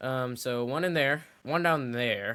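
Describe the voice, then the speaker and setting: The recording is very clean, with a silent background. A man speaks at a fairly slow pace. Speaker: gaming YouTuber. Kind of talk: gameplay commentary. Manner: animated.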